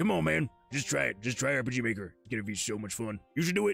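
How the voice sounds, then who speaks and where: A man speaks very fast in a put-on character voice at a medium pitch. Faint music plays in the background. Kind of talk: casual street slang. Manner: pushy, persuading.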